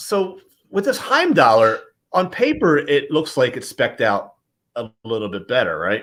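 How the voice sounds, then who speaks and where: A man speaks with a Philadelphia accent. His pace is fairly slow. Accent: Philadelphia accent, says water as wooder. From Philadelphia, US. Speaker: watch reviewer, show host. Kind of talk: casual interview chat.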